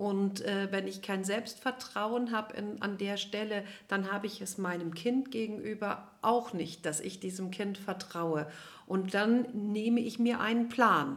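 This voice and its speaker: A woman uses a normal speaking voice at a fairly slow pace. Her pitch is medium, with ordinary variation. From Cologne, western Germany. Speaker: nutrition scientist and family therapist. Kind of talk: interview.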